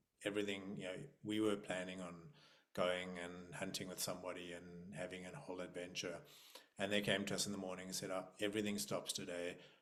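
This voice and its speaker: A man with a very deep, low pitch speaks in a monotone, flat intonation, with audible room echo around his voice. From South Africa. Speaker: nervous system facilitator. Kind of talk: casual chat. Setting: video call.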